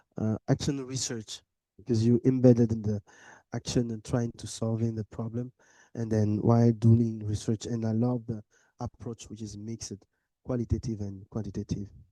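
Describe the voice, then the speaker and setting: The speaker uses a dark, mellow tone and monotone, flat intonation at a moderate pace, with a non-native accent. The sound is dry and close with no echo over a quiet background. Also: man, medium pitch for a man. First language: not English. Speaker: medical doctor and research discussant. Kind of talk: conference discussion. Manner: halting.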